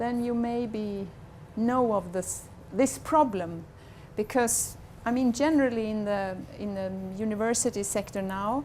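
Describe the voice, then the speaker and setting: A woman with a Swedish accent, fairly high in pitch, at a fairly slow pace with long, frequent pauses and ordinary pitch variation. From Sweden. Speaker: university communications head. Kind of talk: conference talk. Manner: halting.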